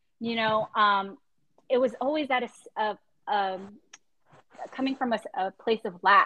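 Fairly high-pitched, fairly slow speech from a woman, with ordinary pitch variation and long, frequent pauses. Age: 30s. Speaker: podcast host. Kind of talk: casual chat.

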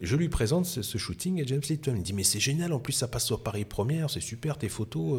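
Speaking at a very fast pace, a man sounds somewhat breathy, with lively intonation. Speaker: photographer. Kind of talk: casual interview chat. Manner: animated, enthusiastic.

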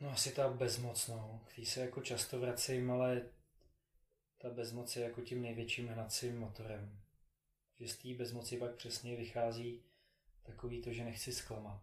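Delivered at a moderate pace in a monotone, flat intonation, the voice carries audible room echo. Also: man, medium pitch for a man. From Czechia, Prague. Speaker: philanthropist and triathlete. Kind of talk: interview. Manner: halting, many fillers.

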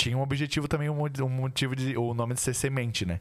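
A man speaks in a plain, everyday voice at medium pitch. His pace is fairly quick, with ordinary pitch variation. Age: 20s. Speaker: podcast host. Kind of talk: casual chat.

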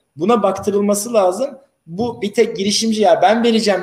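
This man's voice is high in pitch. He speaks at a fairly quick pace. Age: 30s. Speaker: lawyer. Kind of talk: interview.

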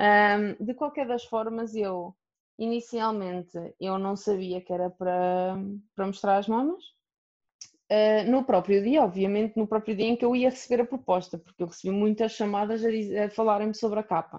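A woman speaks in a normal speaking voice, fairly high in pitch, at a moderate pace with fairly even intonation. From Portugal, Aveiro. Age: 30s. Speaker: plus-size model. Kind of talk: interview.

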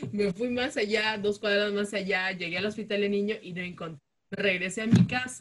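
In an ordinary speaking voice, a woman with a medium pitch speaks at a fairly slow pace. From Peru, Chiclayo (northern coast), later Jaén. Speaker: podcast co-host, communicator. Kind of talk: casual chat.

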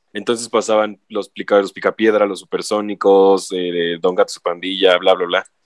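Monotone, flat intonation carries the speech at a moderate pace with hardly any pauses. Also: man, fairly low pitch for a man. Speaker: podcast co-host. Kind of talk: casual chat.

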